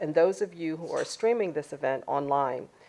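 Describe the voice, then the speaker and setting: An American accent with lively intonation at a fairly quick pace, against a quiet background. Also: woman. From Washington, D C, US. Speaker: keynote speaker, sociologist. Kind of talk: keynote speech. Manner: formal.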